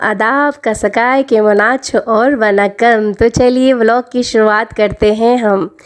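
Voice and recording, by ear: Speaking at a slow pace, a woman holds a fairly high pitch with fairly even intonation.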